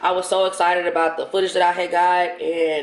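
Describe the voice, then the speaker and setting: Noticeable background noise sits under the speech. It moves along at a moderate pace. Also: woman. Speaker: vlogger. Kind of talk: casual vlog. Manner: casual, expletive-laden.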